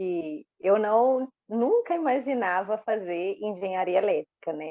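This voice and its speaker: A woman with a Minas Gerais accent, her pitch in the medium range. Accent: mineiro. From Minas Gerais, Brazil (Uberaba). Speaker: electrical engineer. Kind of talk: interview.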